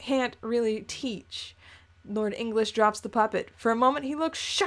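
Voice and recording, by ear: Someone reads aloud here in a natural voice.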